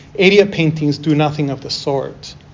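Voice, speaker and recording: Moderate pace and ordinary pitch variation, with noticeable background noise and audible room echo. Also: man. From Peru, moved to Toronto as a child. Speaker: artist. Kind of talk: lecture. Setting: university class.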